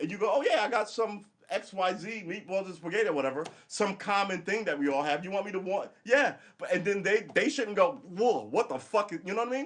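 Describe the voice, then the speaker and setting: A loud, high-pitched man with an American accent, fairly quick and animated, with lively intonation. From New York. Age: 50s. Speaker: live streamer. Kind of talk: casual livestream monologue.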